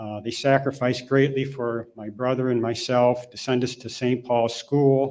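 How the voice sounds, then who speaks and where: A man speaks at a medium pitch and moderate pace with hardly any pauses. His intonation is monotone and flat, while his loudness swings widely. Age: 60s. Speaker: hall of fame honoree, parish helper. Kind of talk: acceptance speech. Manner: halting.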